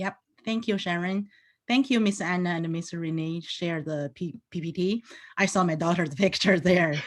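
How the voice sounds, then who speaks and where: A woman with a Chinese accent speaks at a moderate pace and a fairly low pitch, with ordinary pitch variation. The recording is very clean, with a silent background. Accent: Mandarin-accented English. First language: Mandarin. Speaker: teacher. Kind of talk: panel presentation.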